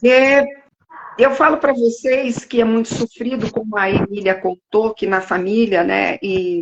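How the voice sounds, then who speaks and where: With an ordinary speaking voice, a woman talks at a fairly slow pace, fairly high in pitch, with ordinary pitch variation. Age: 60s. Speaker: live stream moderator, patient advocate. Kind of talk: casual chat.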